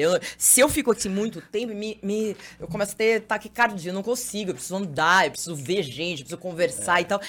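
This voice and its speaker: With an ordinary speaking voice, a woman at a medium pitch keeps up lively intonation, hardly any pauses, and big swings in loudness. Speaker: TV journalist and presenter. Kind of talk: casual chat. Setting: studio.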